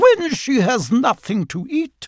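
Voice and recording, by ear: In a very clean recording with a silent background, a man uses a put-on character voice at an extremely high pitch, speaking slowly with very wide pitch swings.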